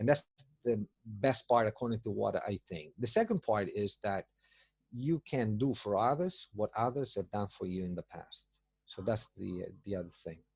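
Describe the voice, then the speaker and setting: With an Italian accent, a man speaks at a moderate pace in a somewhat breathy voice. The background is quiet. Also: fairly low pitch for a man, ordinary pitch variation, dry, close sound with no echo. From Italy. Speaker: tour business owner. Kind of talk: interview answer. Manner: enthusiastic, upbeat.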